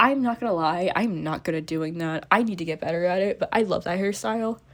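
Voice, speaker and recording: Speaking at a fairly quick pace with an American accent, a woman uses a medium pitch and ordinary pitch variation on a very clean recording with a silent background. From US Midwest. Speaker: vlogger, education student. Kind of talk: casual vlog while drawing. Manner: rambling, casual; loud.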